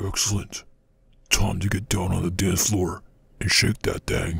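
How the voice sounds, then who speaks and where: A man talks with a very deep, low pitch. His voice is raspy and his pace fairly slow. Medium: machinima. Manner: smooth, welcoming, then ominous.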